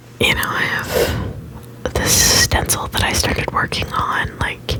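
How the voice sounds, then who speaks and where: Whispering at a fairly slow pace, a man keeps his loudness very even over noticeable background noise. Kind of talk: ASMR whisper ramble, casual talk to camera. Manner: quiet, relaxed, casual.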